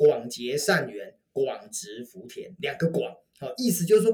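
A man speaks in an animated tone. His pace is moderate. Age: 50s. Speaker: author and networking speaker. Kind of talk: interview.

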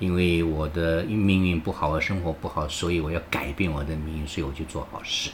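Noticeable background noise sits behind a man with a very deep, low pitch. He talks in a monotone, flat intonation with hardly any pauses. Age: 70s. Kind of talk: interview. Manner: halting, with many fillers.

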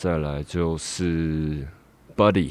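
In a Taiwanese accent, a man speaks with a very deep, low pitch and monotone, flat intonation. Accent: Taiwanese Mandarin. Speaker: rapper. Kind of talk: interview. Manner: halting.

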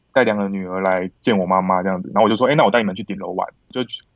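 A man with a fairly low pitch speaks in a normal speaking voice. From Taiwan, born Kinmen, raised Longtan and north. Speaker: film director. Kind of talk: casual chat.

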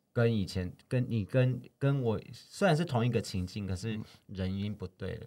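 At a moderate pace, a man with a Taiwanese accent speaks in a dark, mellow tone at a medium pitch. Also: ordinary pitch variation. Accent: Taiwanese Mandarin. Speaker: podcast co-host. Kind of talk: casual chat.

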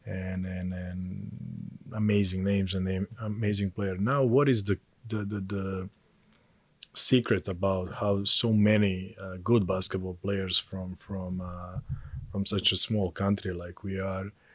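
Speaking at a fairly slow pace, the man has a fairly low pitch and a flat, monotone delivery. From Montenegro. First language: Serbian/Montenegrin. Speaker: basketball coach. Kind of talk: interview. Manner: halting, repeats words.

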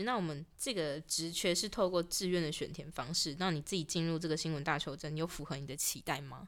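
An unremarkable speaking voice moves at a fairly quick pace with hardly any pauses and ordinary pitch variation, captured in a very clean recording with a silent background. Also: woman, fairly low pitch for a woman. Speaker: student radio podcast host. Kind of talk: casual interview.

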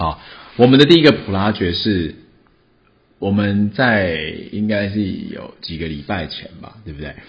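Pausing long and often, a man speaks at a fairly slow pace and fairly low pitch in a somewhat breathy voice, with lively intonation and big swings in loudness. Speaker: podcast host. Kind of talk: casual chat.

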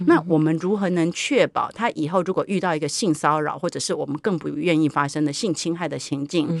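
A woman's fairly low pitch and ordinary pitch variation in an ordinary speaking voice, at a fairly quick pace with hardly any pauses. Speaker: university professor. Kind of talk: interview. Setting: studio.

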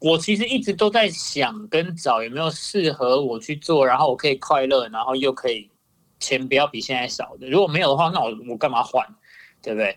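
A man speaks at a fairly quick pace with a fairly high pitch. His intonation is lively, and the recording is very clean with a silent background. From Taiwan. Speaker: YouTuber. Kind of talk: casual chat.

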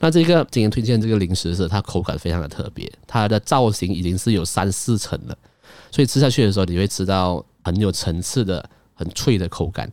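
A man talking at a fairly quick pace, with lively intonation. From Malaysia. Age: 20s. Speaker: podcast host. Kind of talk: casual monologue.

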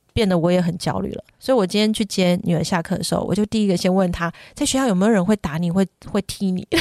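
A woman talks at a very fast pace in a dark, mellow tone. The sound is dry and close, with no echo. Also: medium pitch for a woman, ordinary pitch variation, very clean recording, silent background. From Taiwan. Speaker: parenting podcast host. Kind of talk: casual chat.

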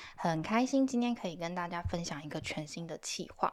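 With lively intonation and a moderate pace, a woman speaks in a plain, everyday voice on a very clean recording with a silent background. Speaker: podcast producer and host. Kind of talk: casual interview chat.

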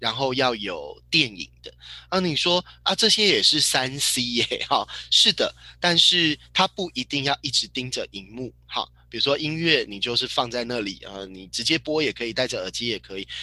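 There is a bright, sharp tone to this man's medium-pitched voice, with lively intonation and big swings in loudness. He keeps a moderate pace, and the sound is dry and close with no echo. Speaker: parenting educator and book club host. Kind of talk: book club lecture.

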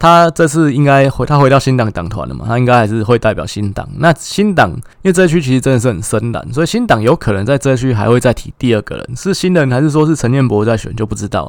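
A man's medium-pitched voice at a very fast pace, lively in intonation, with hardly any pauses. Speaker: political commentary podcaster. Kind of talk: solo political analysis monologue.

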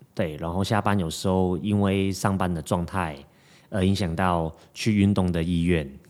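At a moderate pace, a man with a very deep, low voice and a strong Hong Kong accent speaks with fairly even intonation. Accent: strong Hong Kong accent in Mandarin. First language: Cantonese (speaking Chinese). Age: 20s. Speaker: fitness coach. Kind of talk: casual chat.

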